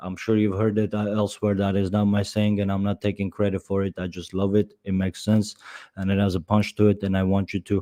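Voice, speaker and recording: A man talks at a fairly quick pace in a fairly low pitch with a dark, mellow tone and flat, monotone intonation. The recording is very clean with a silent background and a dry, close sound with no echo. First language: not English; English is third language. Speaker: podcast host and business owner. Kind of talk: solo podcast monologue. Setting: live stream. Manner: halting, with fillers and restarts.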